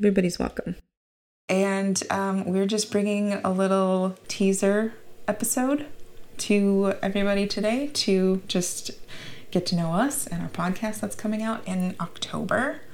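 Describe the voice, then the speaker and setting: In a normal speaking voice, a woman talks with an American accent. Her medium pitch shows ordinary variation, and her pace is fairly slow. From Minnesota, US Midwest. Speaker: podcast host. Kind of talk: casual chat.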